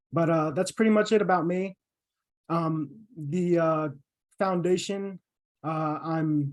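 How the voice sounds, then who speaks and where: A man's ordinary speaking voice, fairly high in pitch, with fairly even intonation and a quiet background. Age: 20s. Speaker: former Marine, father. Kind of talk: podcast interview.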